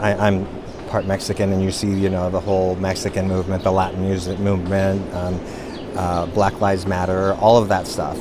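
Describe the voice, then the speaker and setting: A man speaks at a moderate pace in a very deep, low pitch with monotone, flat intonation. Audible room echo and noticeable background noise surround him. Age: 60s. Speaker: visitor interviewed at monument. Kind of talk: street interview.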